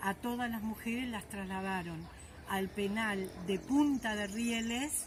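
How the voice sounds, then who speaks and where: A woman speaks at a fairly slow pace with fairly even intonation. Audible room echo surrounds her. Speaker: former political prisoner. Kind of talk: testimony. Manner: halting.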